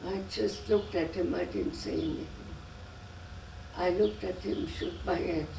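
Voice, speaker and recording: There is audible room echo and noticeable background noise. A woman talks at a moderate pace, with long, frequent pauses. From Germany. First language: German. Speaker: immigrant interviewee, grandmother. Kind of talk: oral history interview. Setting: home interview. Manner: halting.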